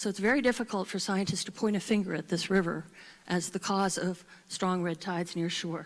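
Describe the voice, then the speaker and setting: At a fairly quick pace, a woman talks in a normal speaking voice of medium pitch with fairly even intonation. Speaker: marine scientist. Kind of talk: conference presentation.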